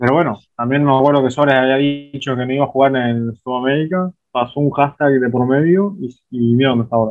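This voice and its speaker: An unremarkable speaking voice from a man, medium in pitch with fairly even intonation, at a fairly quick pace. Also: hardly any pauses. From Uruguay, interior (outside Montevideo). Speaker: documentary filmmaker. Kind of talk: interview.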